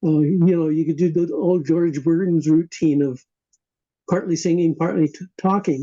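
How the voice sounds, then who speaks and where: Dark, mellow tone from a man, high in pitch, with fairly even intonation at a moderate pace. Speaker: podcast host and caller. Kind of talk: interview.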